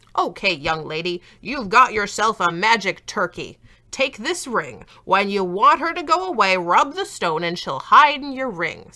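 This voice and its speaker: In a put-on character voice, a female-sounding speaker projects loudly at a medium pitch and a moderate pace, with very wide pitch swings and hardly any pauses. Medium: read story. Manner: kind.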